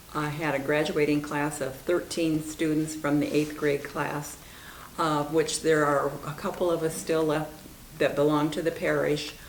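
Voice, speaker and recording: A woman with a very deep, low voice speaks at a fairly slow pace in a monotone, flat way. Noticeable background noise and audible room echo surround her. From Iowa, US Midwest. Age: 70s. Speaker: longtime parishioner. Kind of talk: interview reminiscence.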